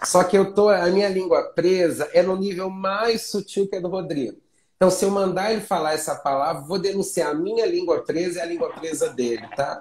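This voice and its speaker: A man talks with a high pitch at a moderate pace, with ordinary pitch variation and hardly any pauses. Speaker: teacher. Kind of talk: online class. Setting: live stream.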